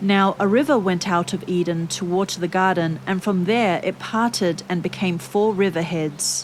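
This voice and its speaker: With ordinary pitch variation, a woman holds a medium pitch and keeps a moderate pace. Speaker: Bible reader. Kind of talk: serene Bible reading with relaxing background music. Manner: calm, soothing.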